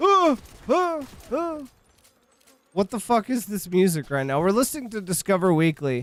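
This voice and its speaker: Loud and animated, the voice moves at a moderate pace through very wide pitch swings, broken by long, frequent pauses. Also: man, high pitch for a man. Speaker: gaming streamer. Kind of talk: live stream commentary.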